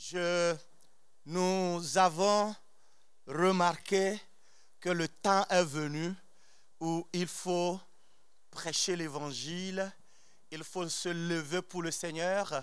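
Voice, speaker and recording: A man with a non-native accent and a high pitch talks at a very slow pace with long, frequent pauses. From outside France. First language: not French (speaking French). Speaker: preacher. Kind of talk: sermon. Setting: church. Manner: animated.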